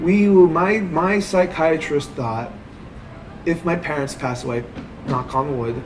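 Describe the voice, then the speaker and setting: A man at a very slow pace with lively intonation, long, frequent pauses and noticeable background noise. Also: fairly high pitch for a man. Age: 30s. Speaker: stand-up comedian. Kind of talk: interview. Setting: coffee shop. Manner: halting.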